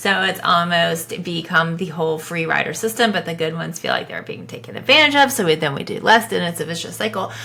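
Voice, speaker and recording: A woman with an American accent and a fairly low pitch talks at a very fast pace with hardly any pauses, using lively intonation, an animated tone and big swings in loudness, over noticeable background noise. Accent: southern US, comes out at times. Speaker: podcast co-host, ABA business. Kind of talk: casual chat reacting to posts.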